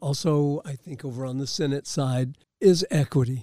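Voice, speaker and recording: The sound is dry and close with no echo as a man talks at a medium speed. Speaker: podcast host. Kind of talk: podcast interview. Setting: makeshift studio.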